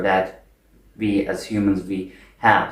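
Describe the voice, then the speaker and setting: Speaking with a non-native accent, a man is heard with audible room echo. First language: not English. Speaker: video essayist. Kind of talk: spontaneous monologue. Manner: unscripted, with fillers.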